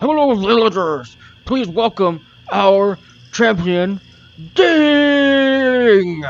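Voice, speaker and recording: In a put-on character voice, the speaker talks at a very slow pace with a fairly high pitch and long, frequent pauses. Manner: announcing.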